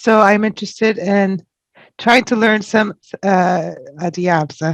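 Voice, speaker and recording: In an ordinary speaking voice, a woman talks at a fairly slow pace with medium pitch, ordinary pitch variation and very even loudness, the sound dry and close with no echo. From Canada. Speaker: student. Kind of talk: self-introduction in class.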